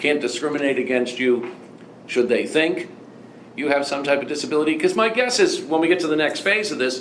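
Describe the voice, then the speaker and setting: A man with a Boston accent talks at a moderate pace with ordinary pitch variation. There is audible room echo and noticeable background noise. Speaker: law professor. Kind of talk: lecture. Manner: halting, repeats words often.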